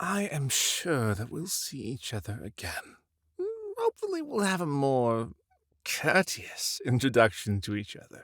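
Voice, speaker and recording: In a put-on character voice, a man speaks with a theatrical tone at a medium pitch and a moderate pace. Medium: audio drama. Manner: giggly, theatrical, unhinged.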